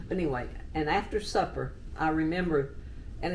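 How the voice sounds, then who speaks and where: A woman with a Texan accent at a moderate pace, amid noticeable background noise and audible room echo. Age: 80s+. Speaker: oral history interviewee. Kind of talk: oral history interview.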